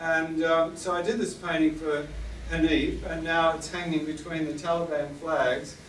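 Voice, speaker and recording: In an Australian accent, a man with fairly high pitch speaks at a moderate pace in a monotone, flat intonation. There is audible room echo and noticeable background noise. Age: 70s. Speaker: war artist. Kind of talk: gallery talk.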